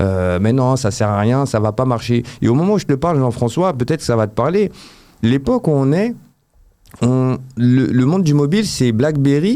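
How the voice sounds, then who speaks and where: Lively intonation from a man at medium pitch, with a dark, mellow tone and a moderate pace. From Paris region, France. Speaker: app developer. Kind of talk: interview. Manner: hesitant, many fillers.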